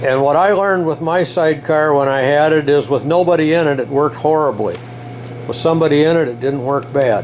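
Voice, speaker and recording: A man's voice comes through fairly quickly, his pitch varying in an ordinary way. There is noticeable background noise. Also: fairly high pitch for a man. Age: 70s. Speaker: motorcycle builder. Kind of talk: workshop tutorial. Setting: workshop. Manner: casual, with fillers and hesitations.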